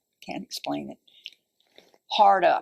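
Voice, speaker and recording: A woman speaks with a Southern US accent. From Central Florida. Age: 80s+. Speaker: oral history interviewee. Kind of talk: oral history interview. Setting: library. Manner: halting.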